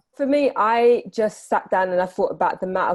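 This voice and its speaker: A woman speaks at a fairly quick pace with a British accent and ordinary pitch variation. The recording is very clean, with a silent background. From UK. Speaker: business podcaster, entrepreneur. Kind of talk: podcast interview.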